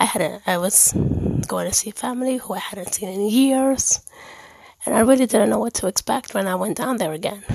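Noticeable background noise sits behind a woman speaking at a moderate pace. Her pitch is medium, with ordinary variation. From Dominican heritage, born in Germany. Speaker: faith podcaster. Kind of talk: personal monologue. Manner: pausing for breath.

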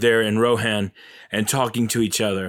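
Here a man talks at a medium pitch and a moderate pace. The recording is very clean, with a silent background. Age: 30s. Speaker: movie podcast host. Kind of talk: casual solo commentary. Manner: animated.

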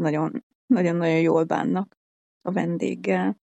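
Very slowly, a woman talks, her voice dry and close with no echo. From Hungary. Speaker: traveller and hitchhiker. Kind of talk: casual interview.

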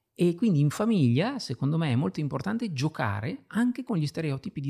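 A man speaks at a fairly high pitch and a fairly quick pace, with very wide pitch swings. His dark, mellow tone is somewhat breathy, in a dry, close sound with no echo. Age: 50s. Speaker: writer and illustrator. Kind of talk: interview.

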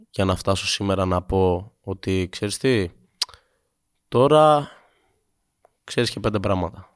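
Speech at a fairly slow pace comes through on a very clean recording with a silent background. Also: man. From Greece, later Sweden from age 15. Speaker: musician. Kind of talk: casual chat. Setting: studio.

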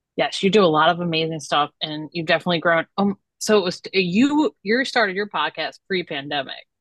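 Fairly low pitch for a woman, a plain, everyday voice with ordinary pitch variation, hardly any pauses, and a dry, close sound with no echo. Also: fairly quick pace. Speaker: podcast host. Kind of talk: casual interview chat.

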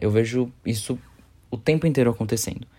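Heard over a very clean recording with a silent background, a man speaks at a medium pitch with a dark, mellow tone. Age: 20s. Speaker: social media marketer and podcaster. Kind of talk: casual monologue.

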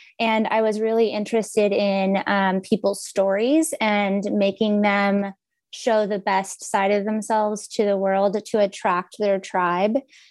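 In an American accent, a woman with a plain, everyday voice talks at medium pitch and a fairly slow pace, with fairly even intonation, very even loudness, hardly any pauses and a quiet background. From Texas. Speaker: video producer and coach. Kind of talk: casual interview chat.

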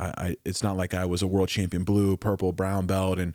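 A man's very deep, low voice with an American accent at a fairly quick pace. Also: very clean recording, silent background. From Oklahoma, US. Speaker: martial arts champion and instructor. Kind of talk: casual interview.

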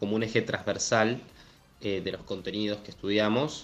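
A man of medium pitch talks at a very fast pace. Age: 20s. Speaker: climate activist. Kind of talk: interview.

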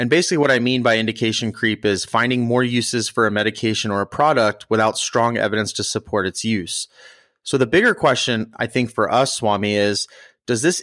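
A man with a normal speaking voice and a medium pitch talks at a fairly quick pace with ordinary pitch variation, recorded very cleanly against a silent background in a dry, close sound with no echo. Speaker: podcast host, emergency physician. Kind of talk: podcast discussion of a medical study, casual but informed.

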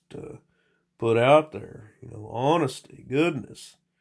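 A man with a Southern US accent, fairly slow pace and ordinary pitch variation against a quiet background. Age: 40s. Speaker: former teacher, solo podcaster. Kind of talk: casual rambling monologue, profane. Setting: home recording, solo. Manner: rambling, crude, halting.

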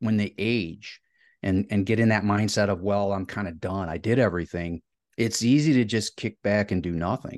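A man with a Midwestern American accent, fairly low pitch, ordinary pitch variation and a moderate pace, dry, close sound with no echo over a quiet background. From Ohio, US Midwest. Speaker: educator and author. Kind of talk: podcast interview.

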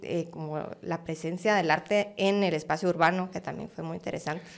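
Fairly even intonation at a moderate pace. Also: woman. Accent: Guatemalan. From Guatemala. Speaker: art curator. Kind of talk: interview conversation.

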